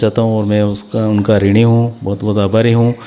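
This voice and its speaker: A man's medium-pitched voice in a flat monotone. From Rajasthan, Udaipur district. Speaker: village council head. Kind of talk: interview.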